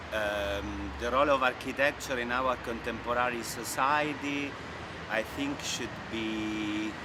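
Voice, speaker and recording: Speaking at a very slow pace with an Italian accent, a man with a medium-pitched voice and ordinary pitch variation is heard over noticeable background noise and audible room echo. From Italy. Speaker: architect. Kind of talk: interview. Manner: halting, many fillers.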